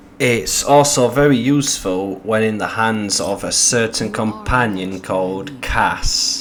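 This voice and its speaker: A man speaks with an English accent over noticeable background noise, with audible room echo. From England. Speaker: gaming youtuber. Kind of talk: video game commentary. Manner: casual and animated.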